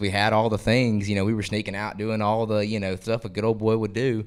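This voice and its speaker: A man talks at a very fast pace with a Southern US accent. His pitch is fairly low. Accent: Southern US (Georgia). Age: 20s. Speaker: country singer. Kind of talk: interview.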